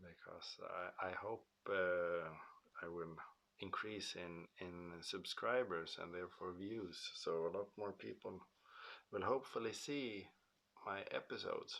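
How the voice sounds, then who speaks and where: A quiet man speaks at a fairly slow pace, leaving long, frequent pauses. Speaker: car restoration YouTuber. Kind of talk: casual vlog monologue. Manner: quiet, hesitant with many fillers.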